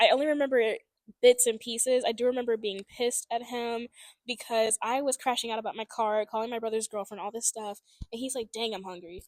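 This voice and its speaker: A woman speaks very fast and loud with an American accent, her pitch fairly high and her tone animated. The recording is very clean, dry and close, with a silent background and no echo. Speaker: book podcast co-host. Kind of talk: casual chat.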